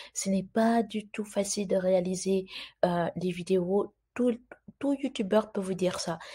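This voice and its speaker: A soft-spoken woman talks in a dark, mellow tone that is somewhat breathy. Her intonation stays fairly even. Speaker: YouTuber explaining immigration news. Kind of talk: informational video commentary.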